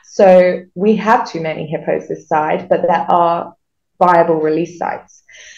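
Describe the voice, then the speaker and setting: Audible room echo surrounds a woman's fairly low voice, though the background is otherwise quiet. She speaks at a fairly slow pace with fairly even intonation. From southern England, Reading near London; southern England. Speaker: wildlife rehabilitator. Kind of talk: interview. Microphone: video call.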